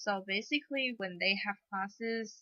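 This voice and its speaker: In a dry, close sound with no echo, a woman speaks fairly slowly at medium pitch with a bright, sharp tone. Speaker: elementary school teacher. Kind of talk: interview.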